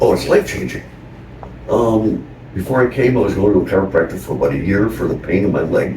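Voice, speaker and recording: Noticeable background noise sits behind a man talking at a fairly quick pace with a fairly low pitch. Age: 60s. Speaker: acupuncture patient. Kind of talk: patient testimonial.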